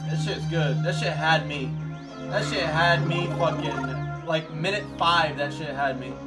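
Speech comes at a fairly slow pace over loud music in the background. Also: man. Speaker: game streamer. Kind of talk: casual stream chat. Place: home room.

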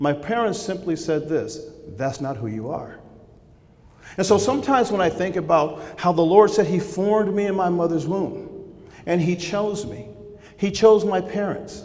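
Lively in intonation, a man speaks in a high pitch. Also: moderate pace. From Southern California. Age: 50s. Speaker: former baseball player and speaker. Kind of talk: faith testimony speech. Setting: stage with audience at breakfast event. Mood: earnest, reflective. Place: hall. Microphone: podium.

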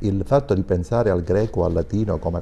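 This man's very deep, low voice has a dark, mellow tone, is somewhat breathy, moves at a fairly quick pace, and shows ordinary pitch variation. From Sicily. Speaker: school principal; guest. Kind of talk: TV talk show discussion. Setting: studio. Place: studio. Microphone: lapel.

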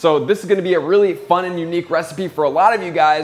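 Very fast speech from a man, pitch moving an ordinary amount. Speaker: home cook host. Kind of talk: cooking tutorial. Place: kitchen.

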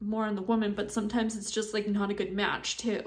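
A woman's fairly high, monotone, flat voice in a room with audible echo. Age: 30s. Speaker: vlogger. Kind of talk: personal testimony. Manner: halting.

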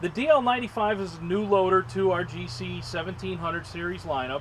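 A man talks while noticeable noise sits behind him. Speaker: equipment dealer sales manager. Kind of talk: product demonstration. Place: open country.

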